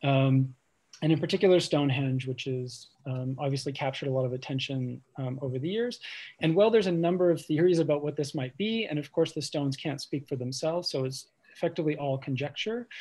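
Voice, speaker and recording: Against a quiet background, a man speaks very fast in a fairly high, somewhat breathy voice with a dark, mellow tone and ordinary pitch variation. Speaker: architecture curator and professor. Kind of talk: lecture. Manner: fast, self-described mumbling; hesitant, many fillers.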